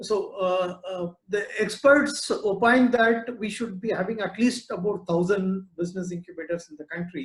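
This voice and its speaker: An Indian accent at a moderate pace, with hardly any pauses and ordinary pitch variation. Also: man, high pitch for a man. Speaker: business incubator director. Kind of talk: webinar talk. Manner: hesitant, many fillers.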